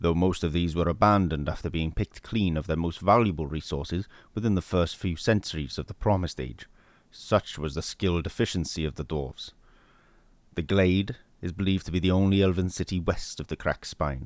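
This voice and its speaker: A man talks at a fairly quick pace with ordinary pitch variation. His pitch is very deep and low, and the recording is very clean with a silent background. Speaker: voice-over artist. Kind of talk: fantasy lore narration.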